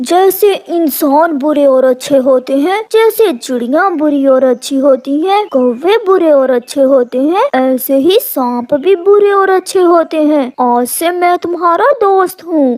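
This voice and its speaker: A cartoonish character voice, high in pitch, talks at a fairly slow pace. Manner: sweet-talking, scheming.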